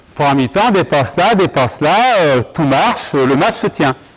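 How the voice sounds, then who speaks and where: A man at a fairly slow pace with very wide pitch swings, amid noticeable background noise. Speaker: basketball coach. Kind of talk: coaching clinic demonstration. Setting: gym court with audience, no handheld mic. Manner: loud. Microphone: no microphone, only a recorder mic.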